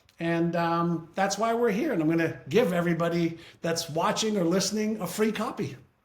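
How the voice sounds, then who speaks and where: Audible room echo surrounds a man speaking in a high pitch with ordinary pitch variation. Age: 60s. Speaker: author and brain-training business leader. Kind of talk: interview.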